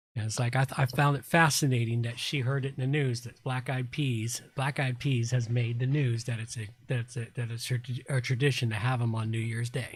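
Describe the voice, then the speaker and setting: A man with an American accent speaks at a medium pitch. His delivery is somewhat breathy, with monotone, flat intonation. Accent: Southern US drawl, stronger when drinking. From US South. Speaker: live stream host. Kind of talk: casual chat. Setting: live stream.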